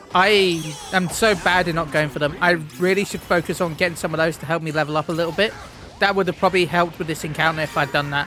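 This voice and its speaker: Over noticeable background noise, a man with a high pitch talks at a very fast pace and with fairly even intonation. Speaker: gaming YouTuber. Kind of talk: gameplay commentary. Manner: halting, repeats words.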